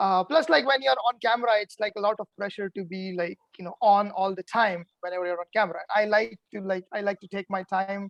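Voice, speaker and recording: A man with a non-native accent, high pitch and ordinary pitch variation, at a fairly quick pace with hardly any pauses and big swings in loudness, in a dry, close sound with no echo. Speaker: eliminated reality game contestant. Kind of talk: casual chat. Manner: relaxed, laid back.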